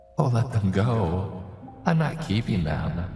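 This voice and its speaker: Using a put-on character voice, a man speaks at a fairly slow pace and a medium pitch. A slight echo surrounds him. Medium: read story. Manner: silky, mocking, playful menace.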